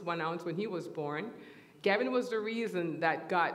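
The speaker is a woman. She goes at a moderate pace with ordinary pitch variation. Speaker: church teacher. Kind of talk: sermon. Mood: warm and smiling. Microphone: headset.

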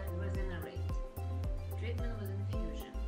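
A woman speaks over loud music in the background. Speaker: esthetician. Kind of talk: casual talk to camera about treatment plan. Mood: calm, gentle. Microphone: camera far.

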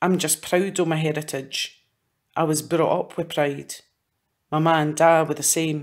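A woman talks at a fairly slow pace. Her very deep, low pitch stays monotone and flat. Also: very clean recording, silent background. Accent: Scottish. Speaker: poet. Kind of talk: poetry reading.

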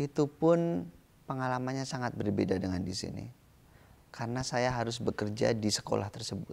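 A man's medium-pitched voice, fairly quick and with lively intonation. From Indonesia. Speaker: visual artist; interviewee. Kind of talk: interview. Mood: calm, reflective. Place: garden. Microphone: lapel.

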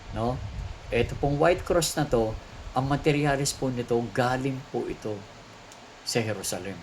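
A man's medium-pitched, somewhat breathy voice, broken by long, frequent pauses. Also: ordinary pitch variation, moderate pace. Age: 60s. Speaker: priest and exorcist. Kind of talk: religious teaching and product pitch.

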